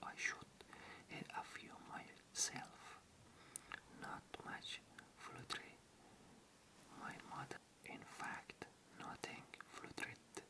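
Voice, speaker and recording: Long, frequent pauses break up a very slow whisper. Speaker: ASMR channel host reading an audiobook. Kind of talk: ASMR bedtime story reading. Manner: soft-spoken, whispered, slow.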